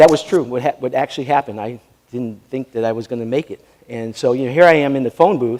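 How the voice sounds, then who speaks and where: Over noticeable background noise, a man with a New York accent talks very fast at a medium pitch, with ordinary pitch variation. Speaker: sports administrator and keynote speaker. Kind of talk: interview; keynote speech.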